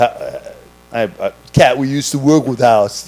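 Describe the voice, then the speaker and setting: A man speaks with a slight East Coast US accent. Music plays in the background. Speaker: podcast host and restaurant server. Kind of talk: casual chat.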